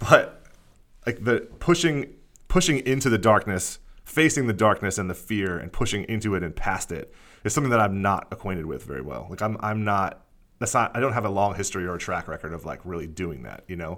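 Here a man with an American accent and an ordinary speaking voice talks at a fairly quick pace with a fairly low pitch. His intonation is lively, on a very clean recording with a silent background. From Pennsylvania, Lehigh Valley. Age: 30s. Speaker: podcast host. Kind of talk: casual chat.

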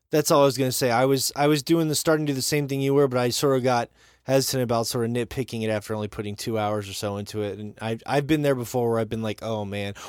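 On a very clean recording with a silent background, a man with an American accent talks at a very fast pace and medium pitch, with ordinary pitch variation and hardly any pauses. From Montana. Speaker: podcast host. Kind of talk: casual chat.

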